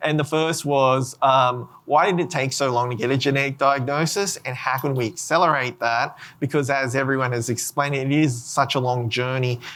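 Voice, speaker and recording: A man with an Australian accent speaks at a medium pitch and a moderate pace, with hardly any pauses. His intonation is fairly even, and the recording is very clean with a silent background. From Australia, Sydney. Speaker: genetics researcher and rare disease patient. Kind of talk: panel discussion. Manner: halting.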